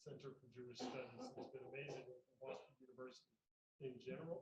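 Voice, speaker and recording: In an American accent, a man talks at a fairly quick pace with a somewhat breathy voice. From US South, North Carolina. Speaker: environmental institute director. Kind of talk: panel talk.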